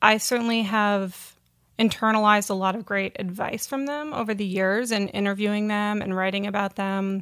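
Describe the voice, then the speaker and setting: In a very clean recording with a silent background, a woman with a plain, everyday voice speaks at a moderate pace. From Vermont, US. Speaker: magazine editor. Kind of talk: interview conversation.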